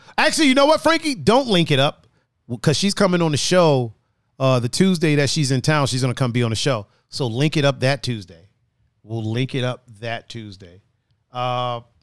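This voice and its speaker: Lively intonation and an animated tone mark a man's fairly high voice at a fairly quick pace. The recording is very clean, with a silent background. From outside US, moved to US East Coast. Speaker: podcast host. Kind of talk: casual banter podcast. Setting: studio. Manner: animated, joking.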